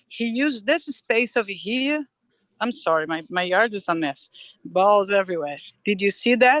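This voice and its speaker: At a moderate pace, a woman at medium pitch swings her voice very widely, recorded with a dry, close sound and no echo. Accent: non-native. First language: not English. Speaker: applicant at a zoning hearing. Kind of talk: public hearing testimony. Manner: halting.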